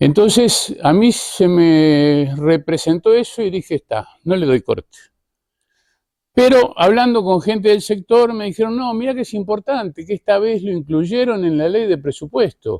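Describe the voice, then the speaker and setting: In a Uruguayan accent, a man with high pitch and a dark, mellow tone speaks at a fairly slow pace with lively intonation, the sound dry and close with no echo. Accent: Uruguayan Rioplatense Spanish. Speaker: tourism journalist and media director. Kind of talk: conference talk.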